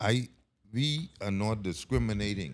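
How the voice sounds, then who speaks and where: This man's fairly low voice has an animated tone. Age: 60s. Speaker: surveyor and panel speaker. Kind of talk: conference panel answer. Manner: animated, repetitive.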